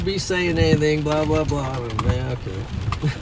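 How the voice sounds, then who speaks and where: Audible room echo and noticeable background noise surround a man who talks at a moderate pace. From Nebraska. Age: 60s. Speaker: storm chaser streamer. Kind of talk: casual chat.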